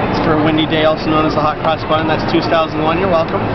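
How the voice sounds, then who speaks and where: Loud background noise surrounds a male voice. The recording is dry, without any echo. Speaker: sales demonstrator. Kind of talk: live sales pitch demo at a trade show. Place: market.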